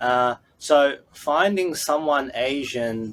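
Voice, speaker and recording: Speaking with an Australian accent, this man uses ordinary pitch variation. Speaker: business consultant. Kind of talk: podcast interview. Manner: halting, many fillers.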